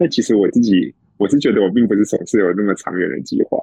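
Speaking very fast, a man has a fairly low pitch and a dark, mellow tone. The sound is dry and close, with no echo. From Taiwan. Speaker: author and tech worker. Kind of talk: interview. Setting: long-distance remote call.

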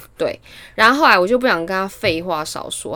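The recording is very clean, with a silent background. A woman with a normal speaking voice and medium pitch talks at a fairly quick pace, using lively intonation. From Taiwan. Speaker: podcast co-host. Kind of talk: casual chat. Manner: laughs often.

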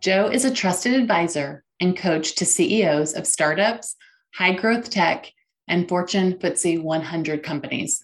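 With a quiet background, a woman speaks at a moderate pace in an unremarkable speaking voice, fairly low in pitch with ordinary pitch variation. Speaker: podcast host and coach. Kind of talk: interview with scripted intro.

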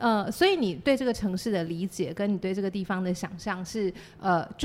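A normal speaking voice from a woman at medium pitch, ordinary pitch variation, on a very clean recording with a silent background. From Taiwan, Chiayi City. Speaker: playwright and theatre company founder. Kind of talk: casual interview chat.

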